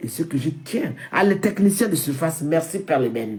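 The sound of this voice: With big pitch swings and audible room echo, a woman speaks at a low pitch in a dark, mellow tone.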